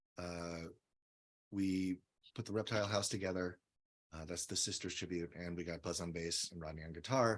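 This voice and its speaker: Against a very clean, silent background, a man with a very deep, low voice speaks at a moderate pace with fairly even intonation and long, frequent pauses. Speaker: musician, drummer and singer. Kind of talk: casual interview. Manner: halting.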